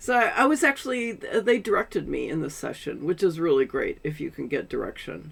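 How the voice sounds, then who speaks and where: Speaking at a moderate pace in an American accent, a woman's voice shows big swings in loudness. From Seattle, US. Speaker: voice actor and audiobook narrator. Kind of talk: interview answer.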